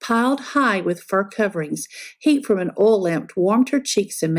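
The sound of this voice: Lively intonation from an unforced reading voice.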